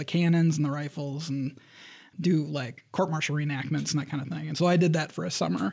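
A man with an American accent and an unremarkable speaking voice talks at a fairly quick pace, in a fairly high pitch with fairly even intonation, on a very clean recording with a silent background. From Michigan, Lansing area. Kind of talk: interview. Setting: studio.

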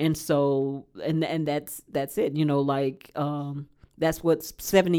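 A woman speaks at a moderate pace in a very deep, low voice. Her intonation is flat and monotone. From Alabama, small country town. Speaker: pastor. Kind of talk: podcast interview.

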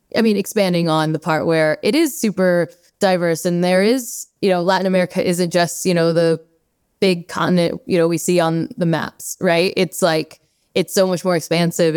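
Here a woman talks in an unremarkable speaking voice, fairly low in pitch, at a moderate pace. Her intonation is fairly even, and the sound is dry and close with no echo. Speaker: podcast host. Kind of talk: interview conversation.

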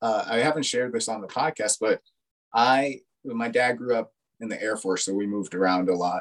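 A man with an unremarkable speaking voice talks at a moderate pace, with a medium pitch and ordinary pitch variation. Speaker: podcast host, mental health counselor. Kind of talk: interview conversation.

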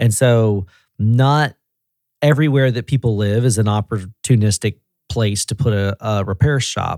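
Tennessee accent at a moderate pace with ordinary pitch variation, in a very clean recording with a silent background and a dry, close sound free of echo. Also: man, medium pitch for a man. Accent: Southern US (Tennessee). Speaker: auto repair regional director. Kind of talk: casual chat. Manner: animated.

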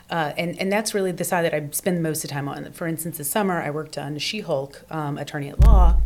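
With music in the background, a woman with a very deep, low pitch talks at a fairly quick pace with hardly any pauses. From US South, Virginia (Portsmouth). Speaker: re-recording mixer. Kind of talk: casual chat.

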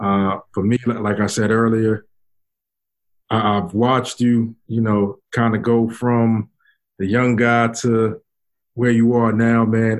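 In a New York accent, a man of medium pitch speaks at a very slow pace with monotone, flat intonation. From Brooklyn, New York. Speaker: podcast host. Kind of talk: casual chat.

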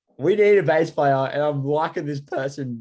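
The speaker is a man with an Australian accent. Behind him, the background stays quiet. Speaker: rock guitarist. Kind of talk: casual chat.

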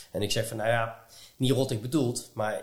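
A man of medium pitch sounds somewhat breathy, with ordinary pitch variation. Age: 40s. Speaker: podcast host. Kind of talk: casual interview. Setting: at guest's home. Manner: halting.

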